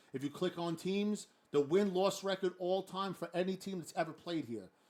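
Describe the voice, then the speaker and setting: This man's voice is pitched high and carries a Brooklyn accent, with pitch that moves up and down a normal amount. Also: moderate pace. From New York, Brooklyn. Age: 40s. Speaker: gaming league host and streamer. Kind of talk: casual livestream chat.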